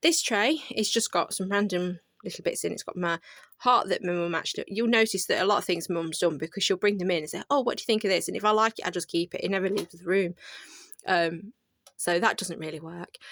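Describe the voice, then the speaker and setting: A woman with a British accent, medium pitch, ordinary pitch variation and a very fast pace, in a dry, close sound with no echo. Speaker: craft content creator. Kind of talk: casual video tour.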